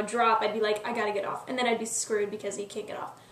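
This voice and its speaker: The speech comes very fast in a monotone, flat intonation, with noticeable background noise. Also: woman. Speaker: YouTube vlogger. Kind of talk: casual vlog monologue. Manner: filler-heavy, lots of um and like.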